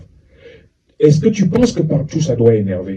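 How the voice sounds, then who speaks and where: A male voice with audible room echo. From France (Paris), Cameroonian family. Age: 60s. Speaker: psychologist and lecturer. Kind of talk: lecture.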